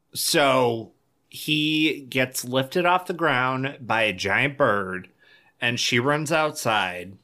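A bright, sharp voice with an American accent speaks at a very slow pace on a very clean recording with a silent background. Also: man. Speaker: podcast co-host. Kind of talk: casual comedic chat. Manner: animated, joking.

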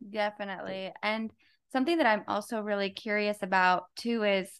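A woman's plain, everyday voice, fairly slow, with fairly even intonation against a quiet background. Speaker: podcast co-host. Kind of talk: casual chat.

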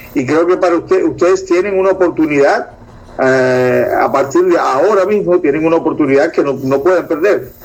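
A man talks at a fairly quick pace with very even loudness, and there is noticeable background noise. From Cuba. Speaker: co-host. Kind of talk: casual interview.

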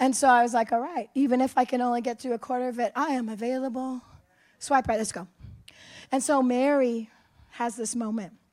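Her pitch high and her intonation fairly even, a woman speaks with long, frequent pauses. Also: fairly quick pace. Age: 60s. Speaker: pastor. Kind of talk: sermon.

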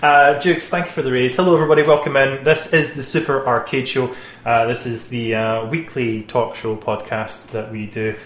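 Over noticeable background noise, a man talks at medium pitch with ordinary pitch variation and hardly any pauses. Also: fairly quick pace. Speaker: gaming show host. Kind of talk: casual chat. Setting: studio.

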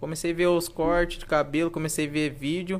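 This is a man with a high pitch. He speaks at a moderate pace. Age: 20s. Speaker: barber. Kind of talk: casual chat.

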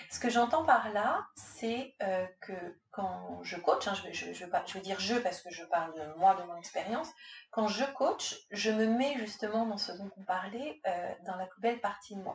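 Speaking at a fairly slow pace, a woman with a medium pitch uses lively intonation and big swings in loudness. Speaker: executive coach. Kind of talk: casual chat. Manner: halting; calm.

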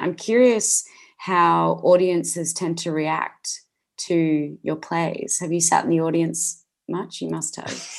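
A woman speaks with an Australian accent against a quiet background. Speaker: podcast host. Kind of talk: scripted intro and outro; casual interview.

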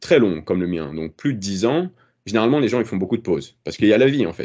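A man speaks in a dark, mellow tone at a fairly low pitch. His voice swings very widely in pitch. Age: 30s. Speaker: fitness content creator. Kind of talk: casual chat. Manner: halting, many repetitions.

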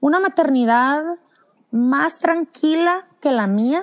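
The speaker talks with a Mexican accent. The pitch swings very widely. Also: woman, dry, close sound with no echo. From Mexico, San Luis Potosí. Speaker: parenting blogger and podcaster. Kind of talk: casual chat.

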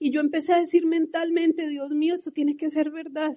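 A woman speaks at a fairly quick pace with an extremely high pitch and a dark, mellow tone. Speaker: network marketing leader. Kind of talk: motivational talk. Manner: animated.

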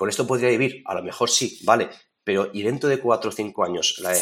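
A man's plain, everyday voice at medium pitch, fairly quick in pace and fairly even in intonation. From Spain, Toledo province. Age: 40s. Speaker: landscape photographer and photography teacher. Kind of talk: casual interview.

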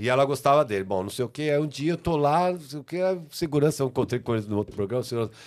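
The speaker talks at a very fast pace. Pitch variation is ordinary. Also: man, fairly high pitch for a man. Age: 60s. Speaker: music and TV producer. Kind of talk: casual chat.

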